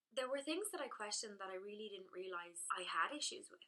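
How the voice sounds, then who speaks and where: A woman with an Irish accent, very fast, in a bright, sharp tone with ordinary pitch variation. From Ireland. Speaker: blogger. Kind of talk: direct-to-camera talk.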